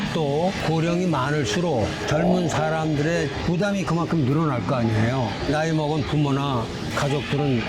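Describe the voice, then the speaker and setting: A fairly high-pitched man at a moderate pace, with audible room echo and noticeable background noise. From South Korea, Chungbuk (Chungju). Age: 70s. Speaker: retired construction engineer, interviewee. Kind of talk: street interview. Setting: outdoors in a park.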